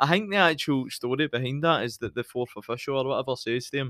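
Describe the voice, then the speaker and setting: In a strong Scottish accent, a man at medium pitch talks with an animated tone, ordinary pitch variation and a moderate pace, in a very clean recording with a silent background and a dry, close sound with no echo. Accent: Scottish, fairly broad. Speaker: podcast host, football fan. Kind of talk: casual chat, football podcast banter. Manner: animated, jokey.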